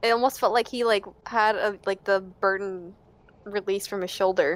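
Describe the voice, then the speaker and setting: A woman with a normal speaking voice, fairly high in pitch, at a moderate pace with fairly even intonation. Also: very clean recording, silent background. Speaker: podcast host. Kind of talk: casual chat.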